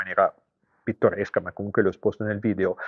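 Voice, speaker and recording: Against a quiet background, a man speaks at a fairly low pitch with a dry sound and no echo. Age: 60s. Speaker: car tuning shop owner. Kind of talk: vlog commentary. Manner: halting, many fillers. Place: shop. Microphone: phone near.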